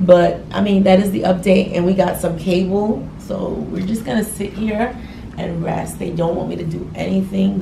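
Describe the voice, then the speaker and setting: A woman at a moderate pace with fairly even intonation against noticeable background noise. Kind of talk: casual vlog chat. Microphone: phone near.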